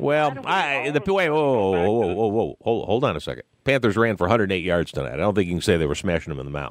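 A man with a fairly low pitch and vocal fry talks at a very fast pace with hardly any pauses and very wide pitch swings, in a dry sound with no echo. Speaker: radio sports talk show host. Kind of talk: live radio postgame show hosting, conversational. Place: studio. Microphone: studio mic.

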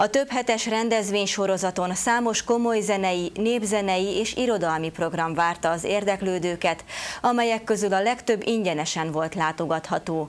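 With ordinary pitch variation and few pauses, a woman talks at a medium pitch.

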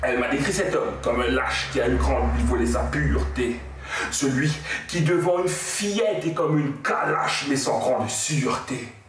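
A man speaks fairly slowly in a space with audible room echo. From Mauritius. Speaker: slam poet. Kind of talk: poetry slam performance. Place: home room. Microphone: camera far.

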